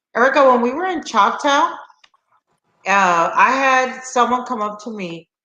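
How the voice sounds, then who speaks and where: A woman speaks at a fairly slow pace in a high voice, with lively intonation and an animated tone. Long, frequent pauses break up her speech, and there is audible room echo. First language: Spanish. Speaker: slot channel host. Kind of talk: casual chat. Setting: live stream.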